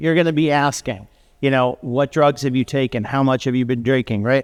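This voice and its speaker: This man talks with ordinary pitch variation. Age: 50s. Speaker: panelist, non-physician trainer of medical providers. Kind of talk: panel discussion. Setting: panel event with audience. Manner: halting, many fillers and restarts.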